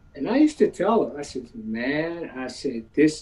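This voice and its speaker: The man's pitch swings very widely while noticeable background noise continues underneath. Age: 70s. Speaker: formerly incarcerated performer and musician. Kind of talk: panel discussion.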